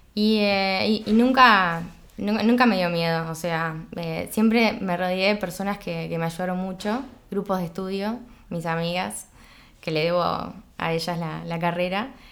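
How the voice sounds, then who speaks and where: A woman speaks at a fairly slow pace with a medium pitch and ordinary pitch variation, and audible room echo can be heard. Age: 30s. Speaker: chemical engineer and entrepreneur. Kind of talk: casual interview chat. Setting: at her home. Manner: halting, many repetitions.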